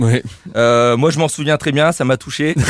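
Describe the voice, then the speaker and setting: Talking very fast with a Corsican accent, a man lets his pitch vary in an ordinary way. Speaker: comedian radio columnist. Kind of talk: comic roast column.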